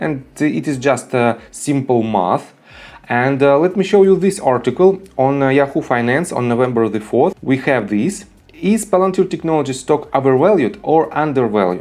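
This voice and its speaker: A man speaks with a non-native accent at a fairly high pitch. His pace is moderate and his intonation lively. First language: not English. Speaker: stock market YouTuber. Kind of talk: stock analysis tutorial. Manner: hesitant, many filler sounds.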